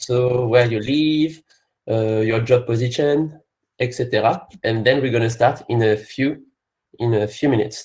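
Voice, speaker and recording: A man's somewhat breathy voice at a medium pitch, in a French accent, with fairly even intonation and a fairly slow pace. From France. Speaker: company partner team representative, webinar presenter. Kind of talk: webinar presentation. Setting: online webinar.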